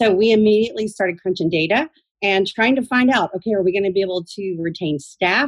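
A woman speaks at a fairly quick pace with an American accent. Her pitch sits in the medium range with ordinary variation, in a normal speaking voice. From Georgia, US (Athens). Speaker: real estate broker. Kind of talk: radio interview.

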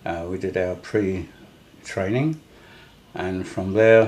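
A man is speaking. His pace is very slow. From London, England. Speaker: war veteran. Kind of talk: interview. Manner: halting.

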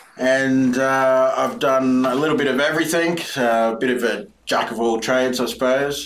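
With an Australian accent and fairly even intonation, a man speaks at medium pitch and a moderate pace, with audible room echo and noticeable background noise. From Brisbane, Australia. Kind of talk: interview.

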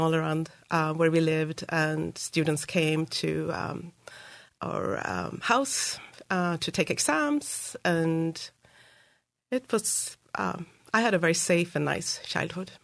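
A woman with a Swedish accent, fairly low in pitch, very slow in pace, with ordinary pitch variation. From Sweden, Uppsala. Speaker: school board candidate. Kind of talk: interview. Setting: studio.

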